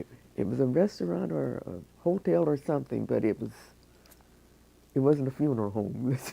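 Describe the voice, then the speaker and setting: At a moderate pace, a woman speaks in a very deep, low pitch with a dark, mellow tone and vocal fry, her pitch swinging very widely between long, frequent pauses. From Cleveland, Ohio. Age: 80s+. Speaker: oral history interviewee. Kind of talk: oral history interview. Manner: halting.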